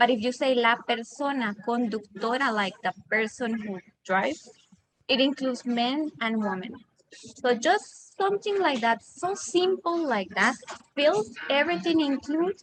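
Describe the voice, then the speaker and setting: In a Costa Rican accent, a woman speaks fairly slowly at a high pitch with lively intonation. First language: Spanish. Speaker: disaster risk expert. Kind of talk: panel discussion. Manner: halting.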